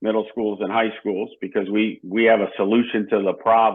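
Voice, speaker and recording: A man speaks at a moderate pace with a fairly low pitch. He has a normal speaking voice. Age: 60s. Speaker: personal finance educator. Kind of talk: podcast interview.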